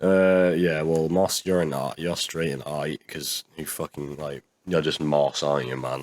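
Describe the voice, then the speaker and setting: Recorded dry and close with no echo, a man talks at a fairly slow pace in a very deep, low voice with fairly even intonation. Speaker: YouTube reaction creator. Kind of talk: casual commentary monologue. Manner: sounds sarcastic.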